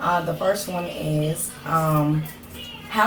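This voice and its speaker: A woman speaks at a very deep, low pitch with fairly even intonation. Noticeable background noise and audible room echo fill the recording. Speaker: parent. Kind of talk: parent question.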